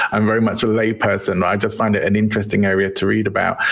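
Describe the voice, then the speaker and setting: A fairly low-pitched man with an English accent and fairly even intonation, with noticeable background noise. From England.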